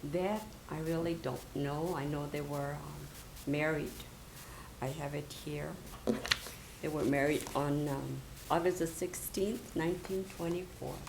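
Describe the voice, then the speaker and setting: A woman speaks fairly slowly with a very deep, low pitch and fairly even intonation, taking long, frequent pauses. Audible room echo and noticeable background noise surround her voice. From Southern California (Colton, Mexican-American barrio). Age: 80s+. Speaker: oral history interviewee. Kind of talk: oral history interview. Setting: university library room. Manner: halting.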